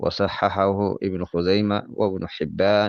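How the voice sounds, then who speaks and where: A man's very deep, low voice, monotone and flat, very slow, against a quiet background. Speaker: religious lesson translator. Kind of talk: Islamic religious lesson with translation.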